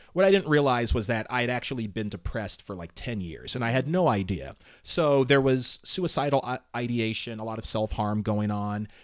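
The very clean recording with a silent background carries lively intonation at a fairly quick pace. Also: man, medium pitch for a man. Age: 40s. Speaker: podcast host. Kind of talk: casual interview chat. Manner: fast talker.

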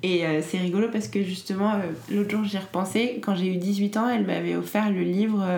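A woman talks at a fairly quick pace with fairly even intonation and very even loudness, heard with audible room echo and noticeable background noise. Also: medium pitch for a woman. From France. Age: 20s. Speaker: entrepreneur. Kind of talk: interview. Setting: at home. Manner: hesitant.

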